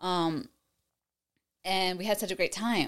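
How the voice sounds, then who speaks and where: On a very clean recording with a silent background, a woman with an American accent uses an ordinary speaking voice and ordinary pitch variation. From New York. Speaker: realtor. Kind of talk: casual chat.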